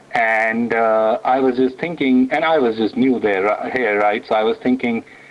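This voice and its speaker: Speaking with an Indian accent, a man holds a moderate pace at medium pitch, with fairly even intonation and very even loudness. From India, New Delhi. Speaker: author and technologist. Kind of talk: radio interview. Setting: radio studio.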